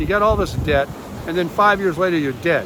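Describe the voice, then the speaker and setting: A man's high voice carries normal pitch movement above clearly audible background noise. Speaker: retiree vlogger. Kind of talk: casual vlog monologue. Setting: outdoors on a beach.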